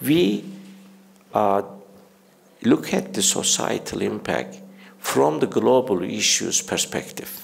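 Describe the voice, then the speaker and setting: A man with a Turkish accent speaks at a fairly slow pace amid audible room echo. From Turkey. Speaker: university leader. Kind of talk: conference speech. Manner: halting, many fillers.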